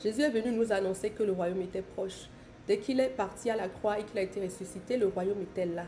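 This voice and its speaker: At a very fast pace, a woman speaks in a medium pitch with a dark, mellow tone and ordinary pitch variation. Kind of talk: bible teaching on live stream. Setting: live stream.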